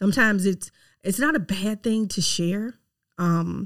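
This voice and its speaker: A woman's animated, medium-pitched voice in a Southern US accent, with ordinary pitch variation. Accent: Southern US, noticeable twang. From Mississippi, US South. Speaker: podcast host, realtor. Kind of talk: faith-based personal growth talk, monologue. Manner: conversational, animated, direct address.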